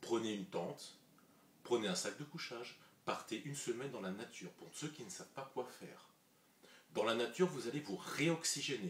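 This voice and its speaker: A man's medium-pitched voice at a moderate pace, with lively intonation, big swings in loudness, and long, frequent pauses. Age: 30s. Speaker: vlogger. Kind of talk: vlog monologue. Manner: casual, conversational.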